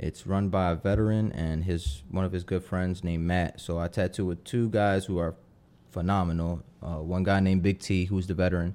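Very deep, low male voice with a Philadelphia accent, dark and mellow, monotone and flat at a fairly quick pace, in a very clean recording with a silent background. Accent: Philadelphia urban American. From Philadelphia, US Northeast. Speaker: tattoo artist. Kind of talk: casual interview chat.

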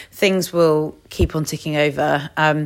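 On a very clean recording with a silent background, a woman with an English accent speaks at a very deep, low pitch. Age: 30s. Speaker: podcast host, coach. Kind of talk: solo casual talk.

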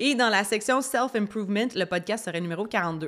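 Over a silent background on a very clean recording, a woman speaks fairly quickly. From Quebec, Estrie (Brompton near Sherbrooke). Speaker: podcast host, personal development coach. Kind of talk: solo podcast monologue. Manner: animated.

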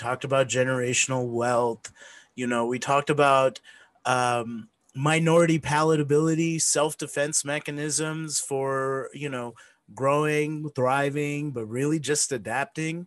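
Against a quiet background, a man with an American accent speaks at medium pitch and a moderate pace with fairly even intonation. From US South (Mississippi). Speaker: podcast host. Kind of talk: casual interview chat. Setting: remote recording, separate tracks synced. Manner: halting, many filler words.

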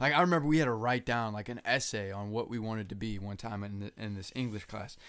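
This man speaks very fast with hardly any pauses, in an animated tone. The recording is very clean, with a silent background. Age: 20s. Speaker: podcast co-host. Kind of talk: casual chat. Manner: casual, profane, animated.

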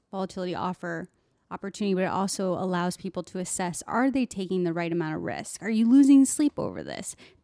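A woman's fairly quick, lively delivery at a medium pitch, dark and mellow in tone, dry and close with no echo, on a very clean recording with a silent background. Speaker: co-host financial advisor. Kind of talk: casual radio panel discussion.

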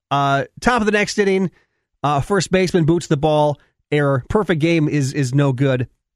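Recorded with a dry, close sound and no echo, a man with a plain, everyday voice talks at a moderate pace and a fairly high pitch, with ordinary pitch variation and very even loudness. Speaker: radio sports host. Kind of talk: casual radio sports talk. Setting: radio studio broadcast. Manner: frustrated, conversational, with repeated words and restarts.

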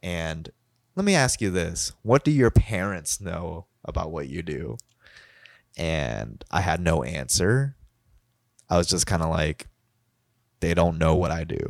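A man speaks at a fairly slow pace in a very deep, low voice with vocal fry and lively intonation, leaving long, frequent pauses. The sound is dry and close, with no echo. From Kentucky, US. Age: 20s. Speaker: photographer and videographer. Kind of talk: casual chat. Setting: video call, drinking.

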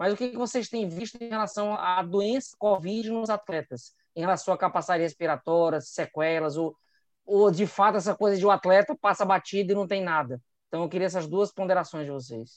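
Fairly quick speech from a man with a high pitch, recorded dry and close with no echo against a quiet background. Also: ordinary pitch variation. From Brazil, Ceará. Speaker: epidemiologist. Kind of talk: casual chat.

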